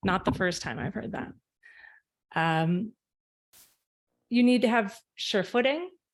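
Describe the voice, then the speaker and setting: A woman speaks at a medium pitch with lively intonation and long, frequent pauses. The recording is very clean, with a silent background. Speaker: arbitration panelist. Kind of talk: conference talk. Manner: loud.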